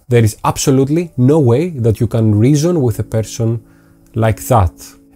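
A man's dark, mellow, somewhat breathy voice at a moderate pace. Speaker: YouTuber. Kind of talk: tutorial. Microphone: lapel.

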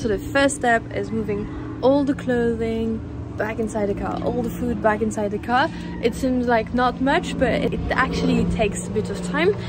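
At a moderate pace, a woman talks over loud background noise in a dry sound with no echo. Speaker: travel vlogger. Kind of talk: casual vlog chat. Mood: cheerful, excited. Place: street. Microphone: phone near.

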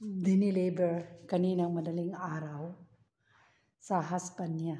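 Somewhat breathy and dark, mellow in tone, a woman speaks at a very slow pace. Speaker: household worker vlogger. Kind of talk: casual vlog chat. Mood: happy, proud. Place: home room. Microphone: phone near.

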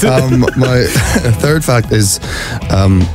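Clear music plays behind a voice whose pitch swings very widely. The sound is dry, with no echo. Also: man. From Ireland. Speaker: actor. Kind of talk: radio interview, playful game answers. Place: studio. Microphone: studio mic.

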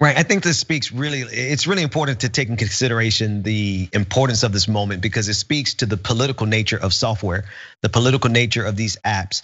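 Delivered at a very fast pace with hardly any pauses, the speech carries a Southern US accent and ordinary pitch variation. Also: man, medium pitch for a man. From US South. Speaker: co-host, political commentator. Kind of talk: political news commentary.

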